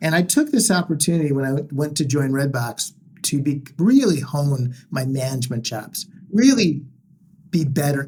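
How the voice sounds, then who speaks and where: A man speaks at a fairly high pitch, somewhat breathy. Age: 60s. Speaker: entrepreneur and former executive. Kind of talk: podcast interview.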